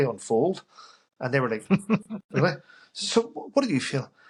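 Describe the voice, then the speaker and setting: A man speaks in a Northern Irish accent, his pitch varying in an ordinary way. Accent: Northern Irish (Belfast). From Northern Ireland, Belfast. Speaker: army veteran. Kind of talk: casual interview chat.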